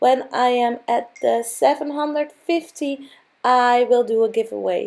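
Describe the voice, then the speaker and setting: Using a Dutch accent, a woman with a high pitch speaks at a fairly slow pace with ordinary pitch variation. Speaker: craft video creator. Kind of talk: tutorial. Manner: halting.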